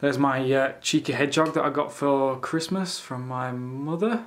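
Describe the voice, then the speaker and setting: Fairly even in intonation, a man with a fairly high voice speaks with a Yorkshire accent. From Yorkshire, England. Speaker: vlogger and small business owner. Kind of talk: casual vlog narration. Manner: casual, with fillers. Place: home room. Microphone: phone near.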